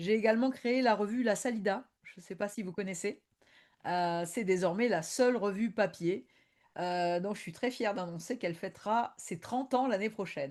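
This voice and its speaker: A woman with an Argentine accent at a medium pitch, moderate pace and ordinary pitch variation, with big swings in loudness and a quiet background. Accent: Argentine-tinged French. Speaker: tango historian and lecturer. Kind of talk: online presentation. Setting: video conference. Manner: hesitant, many fillers.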